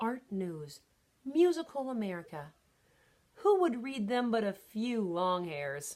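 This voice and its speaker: A squeaky, put-on character voice from a woman, fairly high with very wide pitch swings, at a fairly slow pace. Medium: read story. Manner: breezy, streetwise.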